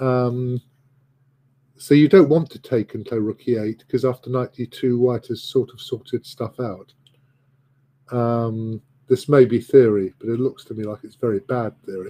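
A man with an English accent and a dark, mellow tone, at a fairly slow pace, with fairly even intonation and big swings in loudness. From England. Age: 60s. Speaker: chess commentator. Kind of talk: live commentary. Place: home room. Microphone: video call.

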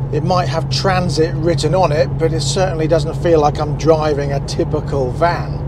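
A man at a moderate pace, dry with no echo, against loud background noise. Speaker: car reviewer. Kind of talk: casual review commentary while driving. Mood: cheerful, relaxed. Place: car. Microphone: lapel.

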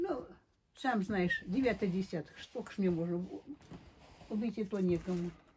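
A woman speaks at a moderate pace in a medium pitch, her voice somewhat breathy with ordinary pitch variation. Long, frequent pauses break up her speech, and there is noticeable background noise. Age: 80s+. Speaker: elderly pensioner. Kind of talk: casual chat. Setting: at home. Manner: halting. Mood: complaining, resigned. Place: home room. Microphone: phone near.

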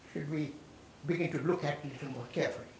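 A man with a fairly high pitch, audible room echo and light background noise. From India. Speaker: urban economics expert. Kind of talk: lecture. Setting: lecture hall with audience. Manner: halting. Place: hall.

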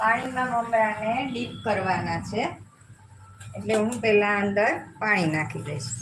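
A woman with a fairly high pitch and lively intonation is heard with audible room echo and noticeable background noise. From Gujarat, Jamnagar (Saurashtra). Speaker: cooking channel host. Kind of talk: live cooking tutorial. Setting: home kitchen, live stream.

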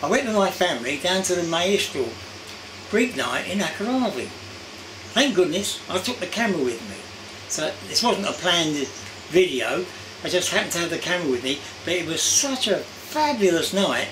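Speaking at a moderate pace with long, frequent pauses, a man uses a high pitch over noticeable background noise. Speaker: vlogger. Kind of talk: casual vlog chat. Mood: warm, enthusiastic. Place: home room.

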